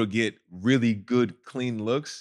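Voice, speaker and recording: With an American accent, a man talks at medium pitch with fairly even intonation in a plain, everyday voice, recorded very cleanly against a silent background. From California. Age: 20s. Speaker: professional basketball player. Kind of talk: casual chat. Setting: studio.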